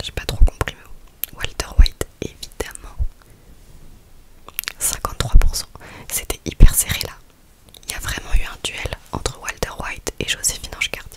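A soft-spoken woman whispers at a fairly slow pace. She leaves long, frequent pauses. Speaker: ASMR creator. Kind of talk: soft whispered ASMR chat, reading would-you-rather questions. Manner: soft close-mic ASMR whisper. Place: home room. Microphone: studio mic.

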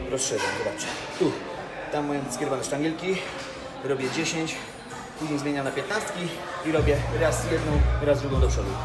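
Loud music plays in the background as a man speaks. His pace is moderate, with long, frequent pauses. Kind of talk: casual workout vlog tutorial. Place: gym.

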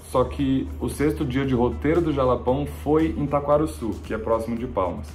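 Faint background music can be heard. Over it, a man speaks at a moderate pace. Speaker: travel vlogger. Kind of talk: casual vlog chat. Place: home room.

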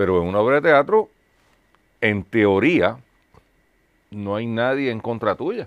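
A man's voice against a quiet background. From Puerto Rico. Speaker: talk show host. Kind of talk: sponsor announcement; casual interview. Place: studio.

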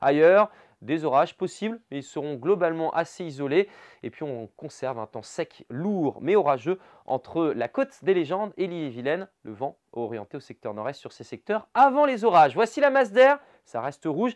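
Upbeat and enthusiastic, the voice moves through very wide pitch swings and big swings in loudness. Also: man, fairly high pitch for a man, quiet background. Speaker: weather presenter. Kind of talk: regional TV-style weather bulletin, brisk forecast narration over maps. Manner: upbeat, enthusiastic and conversational, with casual 'hein' asides; fluent brisk delivery listing towns and temperatures in quick succession. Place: studio. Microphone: lapel.

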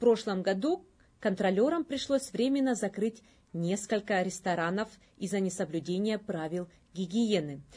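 Dark, mellow female voice at a moderate pace with lively intonation

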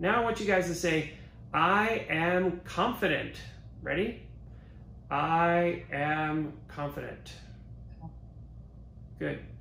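A man talks at a very slow pace with long, frequent pauses. Audible room echo and light background noise surround him. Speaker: virtual event emcee. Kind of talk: guiding an online group exercise. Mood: calm, encouraging. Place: studio.

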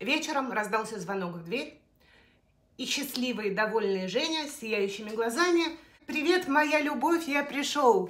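A woman with a high pitch speaks at a fairly slow pace. Her loudness swings widely. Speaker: storyteller. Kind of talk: personal story told to camera. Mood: emotional, confessional retelling. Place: kitchen. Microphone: phone near.

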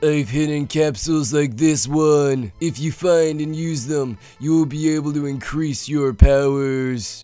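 Using a put-on character voice, a man speaks at a fairly high pitch and a fairly slow pace with hardly any pauses, over faint music in the background. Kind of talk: comic overacting. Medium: game stream. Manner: macho, growling.

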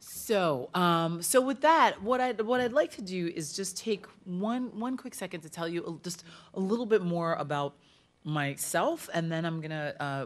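The woman speaks at a moderate pace, her pitch fairly low. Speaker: speaker. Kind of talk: lecture. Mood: warm, personal storytelling. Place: hall. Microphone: podium.

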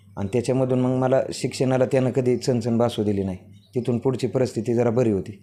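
Dark and mellow in tone, this man's voice sits at a medium pitch. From rural Pune district, Maharashtra (Daund taluka). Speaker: newly selected police sub-inspector. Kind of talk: interview.

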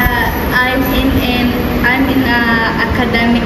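A woman's voice comes through loud background noise. The room echo is audible. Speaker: teacher. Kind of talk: interview answer. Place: classroom. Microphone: phone near.

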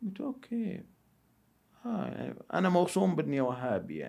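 A man speaks against a quiet background. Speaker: philosophy enthusiast. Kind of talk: casual chat. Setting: studio. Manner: loud. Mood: calm, reflective. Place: studio. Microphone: studio mic.

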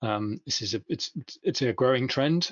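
A man with a British accent talks at a fairly quick pace. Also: quiet background. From United Kingdom. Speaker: software company founder and CTO; conference presenter. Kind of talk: conference presentation. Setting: video webinar. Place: home room. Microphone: video call.

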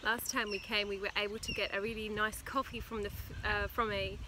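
A woman at a moderate pace, with a dry sound with no echo and noticeable background noise. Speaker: family vlogger. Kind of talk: casual vlog chat. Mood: cheerful, relaxed. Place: garden. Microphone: phone near.

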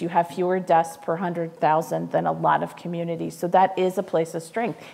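A woman talks at a moderate pace. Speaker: guest. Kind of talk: interview answer. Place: stage.

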